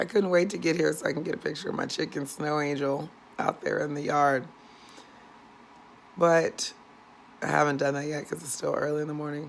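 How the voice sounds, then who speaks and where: Her pitch is very deep and low, and she has an American accent. This woman talks at a fairly quick pace but takes long, frequent pauses. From San Diego, California. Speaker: vlogger. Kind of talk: casual vlog. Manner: chatty, rambling with fillers.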